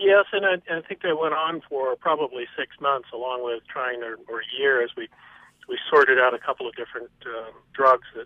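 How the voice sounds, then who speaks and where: A man talks at a moderate pace in a fairly high pitch with ordinary pitch variation. His loudness swings widely. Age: 60s. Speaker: caller. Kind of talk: phone-in call. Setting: phone call. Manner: hesitant, many fillers.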